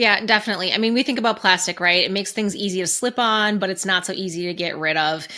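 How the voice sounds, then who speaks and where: A woman with a Minnesotan accent talks very fast, with hardly any pauses. Her tone is bright and sharp, her pitch medium, and her pitch variation ordinary. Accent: Minnesota. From Minnesota, US Midwest. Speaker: podcast co-host. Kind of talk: casual podcast discussion.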